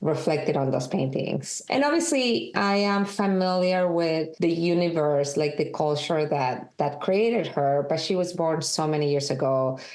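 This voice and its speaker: Audible room echo surrounds a woman speaking in a strong Peruvian accent. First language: Spanish. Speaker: documentary director and film editor. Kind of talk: interview.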